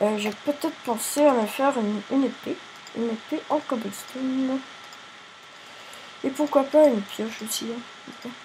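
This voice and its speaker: A woman speaks with a high pitch at a fairly slow pace, leaving long, frequent pauses, over noticeable background noise. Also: ordinary pitch variation. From Quebec. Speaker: gaming youtuber. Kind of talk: casual gameplay commentary. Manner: halting, repeats words.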